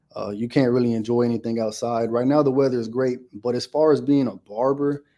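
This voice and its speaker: Very fast speech from a man at medium pitch, dark and mellow in tone, with fairly even intonation. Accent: American. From Houston, Texas. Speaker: barber. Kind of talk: casual interview chat.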